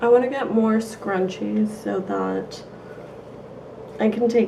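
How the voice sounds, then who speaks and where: A woman speaks very slowly against noticeable background noise. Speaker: beauty vlogger. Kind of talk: casual haul video.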